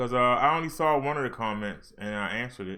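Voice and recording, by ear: A man speaks at a fairly quick pace and a medium pitch. His tone is bright and sharp. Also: lively intonation.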